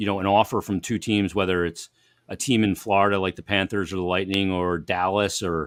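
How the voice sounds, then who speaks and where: Fairly low in pitch, a man uses an ordinary speaking voice at a moderate pace. The sound is dry and close with no echo, a very clean recording with a silent background. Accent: American. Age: 50s. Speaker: hockey broadcaster. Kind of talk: casual chat.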